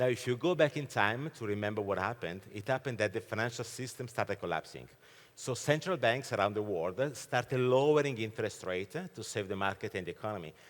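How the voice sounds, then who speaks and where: Very fast speech from a medium-pitched man with an Italian accent and lively intonation. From Italy. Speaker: keynote speaker, fintech expert. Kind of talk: keynote presentation. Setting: conference stage with audience.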